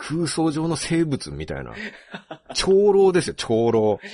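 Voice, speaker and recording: A man is speaking. His pitch makes very wide swings. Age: 40s. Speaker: writer and podcast host. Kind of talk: casual chat.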